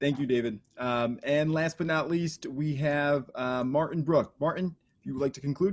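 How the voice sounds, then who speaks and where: This man with an American accent has a fairly high pitch and fairly even intonation, moving at a moderate pace with hardly any pauses. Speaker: debate moderator. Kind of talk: moderating candidate forum.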